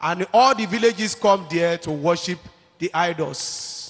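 A man with a high pitch and a Nigerian accent talks at a fairly slow pace, with ordinary pitch variation. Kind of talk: testimony. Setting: church.

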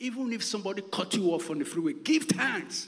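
With a Nigerian accent, a man speaks at a high pitch with very wide pitch swings over noticeable background noise. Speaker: pastor. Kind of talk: sermon. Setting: church.

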